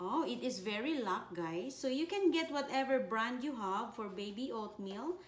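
Audible room echo and light background noise surround a woman speaking at a fairly slow pace. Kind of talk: casual vlog tutorial. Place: kitchen. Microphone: camera far.

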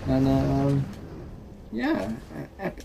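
A man talks with lively intonation and a slightly mellow tone. Faint background noise can be heard.

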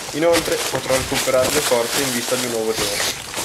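Loud background noise fills the recording. A man talks at a very fast pace. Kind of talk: parody documentary narration. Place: forest. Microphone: phone near.

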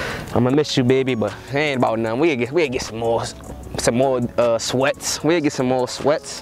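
Faint background noise sits behind a man speaking at a moderate pace. His pitch is medium, with ordinary variation.

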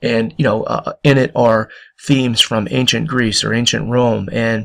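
His intonation is fairly even. The man's pitch falls in the medium range. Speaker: history teacher. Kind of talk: lecture. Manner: quiet, soft-spoken; hesitant, many fillers.

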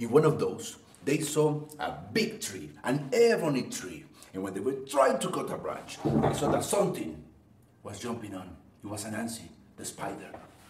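The voice swings very widely in pitch at a moderate pace. Audible room echo and light background noise surround it. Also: man. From Colombia. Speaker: oral storyteller. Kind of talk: live oral storytelling performance. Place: home room.

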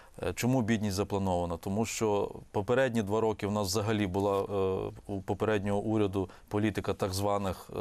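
Speaking fairly quickly, a man keeps a monotone, flat intonation. His pitch is fairly low, and the background is quiet. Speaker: economist. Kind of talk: TV interview. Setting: studio.

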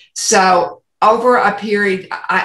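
A woman's fairly even intonation, a quiet background and audible room echo. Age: 70s. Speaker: interview guest. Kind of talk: interview answer. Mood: warm, humorous storytelling. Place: home room. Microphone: video call.

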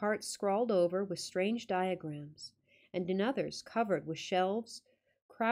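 Someone reads aloud plainly. Nothing much can be heard behind the voice.

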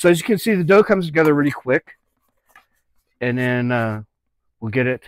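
With ordinary pitch variation, a man talks at a moderate pace, the sound dry and free of echo. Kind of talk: tutorial. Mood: relaxed, joking. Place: kitchen. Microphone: lapel.

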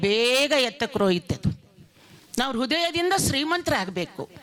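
A woman talks with a high pitch, an animated tone and lively intonation. There is noticeable background noise. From northern Karnataka, India (raised in Gadag). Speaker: folk artist and farmers' activist. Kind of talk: speech at a cultural event.

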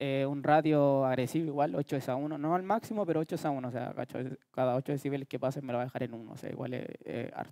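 Over a quiet background, a man talks at a very fast pace in a dark, mellow tone. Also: ordinary pitch variation, dry sound with no echo. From Chile. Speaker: music producer. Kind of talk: workshop lecture. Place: hall. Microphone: headset.

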